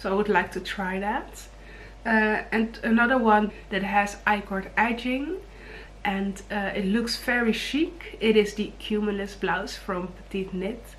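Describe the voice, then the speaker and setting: The speaker has a Dutch accent and a fairly slow pace, with audible room echo. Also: woman, medium pitch for a woman, ordinary pitch variation. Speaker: knitting vlogger. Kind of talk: casual vlog talk. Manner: hesitant, many fillers; low energy.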